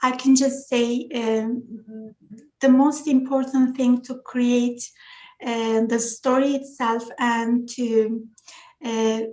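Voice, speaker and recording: A woman speaks in a Turkish accent at a very slow pace. Her high voice has a dark, mellow tone and monotone, flat intonation. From Turkey, small village. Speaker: children's book author. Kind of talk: interview. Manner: halting, many fillers.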